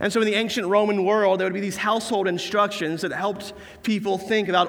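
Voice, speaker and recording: A man talks at a fairly quick pace amid audible room echo. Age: 20s. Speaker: pastor. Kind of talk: sermon.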